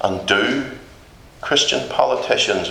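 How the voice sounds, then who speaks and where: Talking at a fairly slow pace, a man with a Northern Irish accent is heard with audible room echo and noticeable background noise. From Northern Ireland. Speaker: visiting preacher. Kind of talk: sermon. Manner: emphatic.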